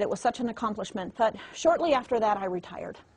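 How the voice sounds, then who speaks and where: At a fairly quick pace, a woman talks in an animated tone, somewhat breathy and fairly high in pitch. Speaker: network marketing trainer. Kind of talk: motivational training talk. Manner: fast.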